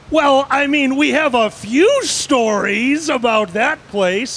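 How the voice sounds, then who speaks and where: Very slow speech from a man, with noticeable background noise around it. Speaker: panelist working on a trading desk. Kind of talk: casual panel storytelling. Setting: basement room with other panelists.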